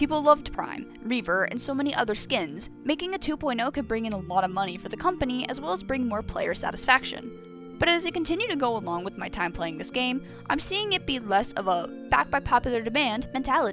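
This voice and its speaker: Over music in the background, a woman speaks at a very fast pace in a high pitch, her voice swinging very widely. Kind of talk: opinion commentary video. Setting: low-quality microphone with mouse clicks. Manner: casual, talkative.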